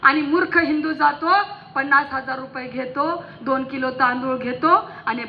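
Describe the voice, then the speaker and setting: A woman speaks in a passionate tone. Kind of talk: fiery public political-religious rally speech. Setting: stage with PA system before a large crowd. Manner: forceful, passionate, rousing, loud.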